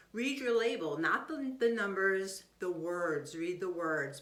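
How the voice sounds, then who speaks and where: A woman with a fairly low pitch at a moderate pace, with audible room echo. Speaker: health doctor giving nutrition advice. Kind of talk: casual health talk video to viewers.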